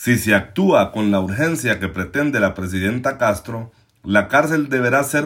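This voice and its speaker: Lively intonation runs through a normal speaking voice delivered at a fairly slow pace. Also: man. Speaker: news podcast host. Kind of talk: scripted news commentary. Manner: formal.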